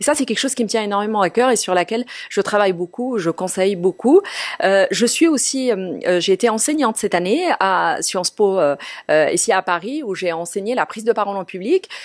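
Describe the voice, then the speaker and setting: A woman speaks with lively intonation at a medium pitch. The sound is dry and close, with no echo. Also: fairly quick pace. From Morocco. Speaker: TV journalist and presenter. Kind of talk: interview. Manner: hesitant, many fillers.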